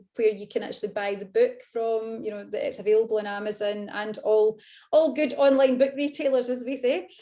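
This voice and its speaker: In a Scottish accent, the speaker moves at a fairly quick pace with a dark, mellow tone. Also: woman. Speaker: event host, interviewer. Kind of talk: live online author interview. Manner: fast and loud when excited; hesitant, many fillers.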